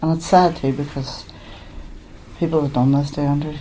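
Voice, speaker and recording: With a Derry accent, a woman talks fairly quickly in a flat, monotone intonation, with audible room echo. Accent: Northern Irish (Derry). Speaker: bereaved mother. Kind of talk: testimony.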